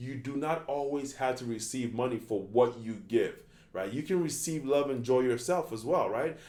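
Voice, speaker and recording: A man with a dark, mellow tone speaks in a medium pitch. His pace is moderate and his pitch varies in an ordinary way. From Ghana. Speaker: life coach. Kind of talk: online coaching tutorial. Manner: repetitive, stumbling restarts.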